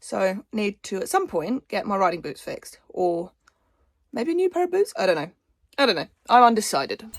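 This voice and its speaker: Recorded dry and close with no echo, a woman with an English accent talks at a fairly high pitch with very wide pitch swings. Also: moderate pace. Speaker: equestrian vlogger. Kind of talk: casual vlog.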